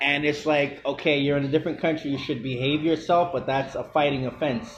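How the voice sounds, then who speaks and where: With music in the background, a man speaks at a fairly quick pace. His fairly high voice keeps a fairly even intonation. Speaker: interviewer. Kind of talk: interview questions.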